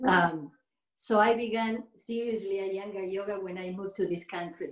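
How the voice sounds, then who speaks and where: A woman talks with a Spanish accent. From Argentina. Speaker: yoga teacher. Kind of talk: interview. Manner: halting.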